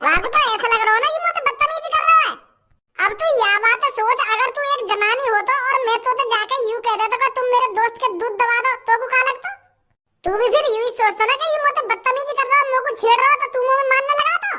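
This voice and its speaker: A cartoonish character voice at an extremely high pitch rattles along at a very fast pace. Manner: lecturing, rustic.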